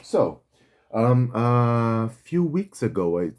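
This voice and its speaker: The voice carries a Brazilian accent. Its tone is dark and mellow. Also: man. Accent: Brazilian accent, noticeable. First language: Portuguese. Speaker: pen reviewer, YouTuber. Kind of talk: product review. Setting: home setup, no proper video gear. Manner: halting, many fillers and restarts.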